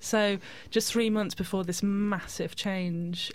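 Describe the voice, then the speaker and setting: Her intonation is monotone and flat. The woman speaks at a fairly slow pace. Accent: British. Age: 30s. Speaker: artist and activist. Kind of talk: radio interview.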